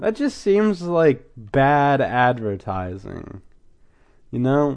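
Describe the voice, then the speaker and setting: The man's pitch swings very widely. His pace is very slow. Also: quiet background. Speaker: podcast host recapping a cartoon episode. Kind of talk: episode recap commentary. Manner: casual with frequent fillers and repetitions.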